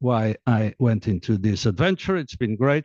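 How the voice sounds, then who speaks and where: With a Portuguese accent, a man speaks at a moderate pace and medium pitch in a dark, mellow tone, with ordinary pitch variation, a dry, close sound with no echo, and a quiet background. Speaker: diplomat and author. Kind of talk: book presentation talk. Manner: hesitant, many fillers.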